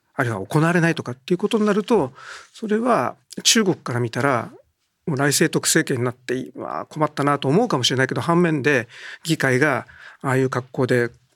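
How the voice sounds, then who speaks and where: On a very clean recording with a silent background and a dry, close sound with no echo, a man uses an ordinary speaking voice, fairly high in pitch, with lively intonation and a fairly quick pace. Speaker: newspaper political journalist. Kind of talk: political discussion.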